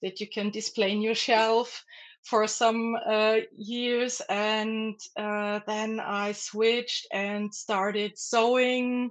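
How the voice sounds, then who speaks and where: Over a quiet background, a woman with a German accent and a fairly high pitch speaks at a very slow pace with hardly any pauses and monotone, flat intonation. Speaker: artist. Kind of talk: interview. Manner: halting.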